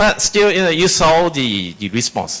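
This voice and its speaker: A man with a non-native accent, fairly quick in pace, with very wide pitch swings. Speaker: tech developer advocate presenter. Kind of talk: conference tech presentation with live demos. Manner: halting, many fillers and restarts.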